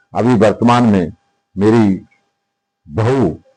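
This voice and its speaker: Fairly even intonation in a man's dark, mellow voice. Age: 70s. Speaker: local politician. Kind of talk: interview.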